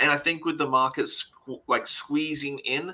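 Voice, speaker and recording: The speaker is a man with a bright, sharp tone. He goes at a medium speed. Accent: Australian. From Australia. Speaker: bar owner, spirits expert. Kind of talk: interview.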